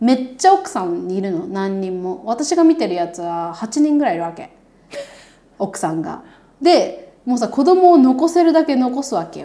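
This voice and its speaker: Her voice is high-pitched with a dark, mellow tone at a moderate pace. The woman's pitch swings very widely and her loudness shifts in big swings. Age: 30s. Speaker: podcast co-host and YouTuber. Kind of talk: casual chat. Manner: animated.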